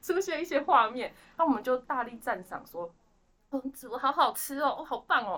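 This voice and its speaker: With a high, bright, sharp voice, a woman speaks at a moderate pace in an animated tone, her intonation lively and her loudness swinging widely. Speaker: guest staff member of the organization. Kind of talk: casual chat.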